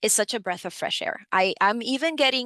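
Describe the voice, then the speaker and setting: With a Spanish accent, a woman speaks at a fairly quick pace in a fairly high, bright, sharp voice with lively intonation, in a dry, close sound with no echo and a quiet background. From Dominican Republic, then New York City. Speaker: financial education program supervisor. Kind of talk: webinar presentation. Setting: online webinar.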